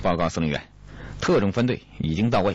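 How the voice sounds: Lively intonation runs through the natural reading voice.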